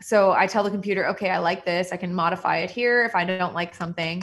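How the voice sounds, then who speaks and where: A woman with an American accent talks at a fairly quick pace, her intonation fairly even. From Southern California. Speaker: general dentist. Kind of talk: online presentation. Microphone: video call.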